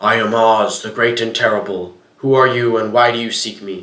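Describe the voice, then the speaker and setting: A man puts on a character voice that is quiet and raspy, with a medium pitch. He goes at a moderate pace, and echo is audible. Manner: quiet, grand.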